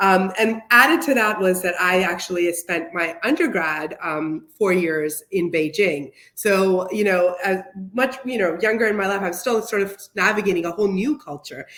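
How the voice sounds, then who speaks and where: A woman's medium-pitched voice moves at a moderate pace with ordinary pitch variation, and there is noticeable noise in the background. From US, Pakistani-American family. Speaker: nonprofit managing director, panelist. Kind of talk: panel discussion. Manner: hesitant, many fillers.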